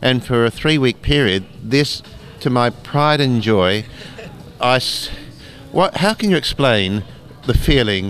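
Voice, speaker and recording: Very slow speech with ordinary pitch variation, with music in the background. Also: man. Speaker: doctor and comic artist. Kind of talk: interview. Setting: convention.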